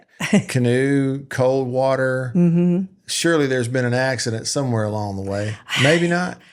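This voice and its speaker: An unremarkable speaking voice from a man, medium pitch, ordinary pitch variation, moderate pace. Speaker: podcast host. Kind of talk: podcast interview questions.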